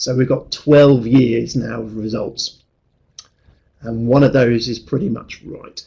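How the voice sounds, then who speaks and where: Somewhat breathy, with a dark, mellow tone, this man's voice shows big swings in loudness. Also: medium pitch for a man, fairly even intonation. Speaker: actuarial tutor. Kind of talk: webinar presentation. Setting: online webinar. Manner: fast; hesitant fillers.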